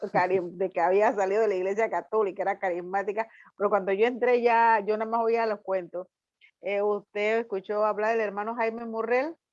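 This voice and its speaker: A woman has an ordinary speaking voice at a medium pitch. She talks at a fairly quick pace. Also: fairly even intonation. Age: 60s. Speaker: student in a Bible course. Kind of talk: class discussion.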